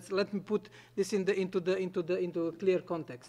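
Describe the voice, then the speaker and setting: A man's high-pitched voice with a non-native accent. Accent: noticeable non-native English. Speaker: conference panelist. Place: meeting room. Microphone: podium.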